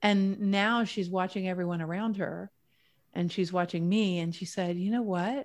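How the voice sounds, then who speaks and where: A woman speaks in a normal speaking voice at a moderate pace, with medium pitch and fairly even intonation. The recording is very clean, with a silent background. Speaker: wellness author and speaker. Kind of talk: casual interview chat.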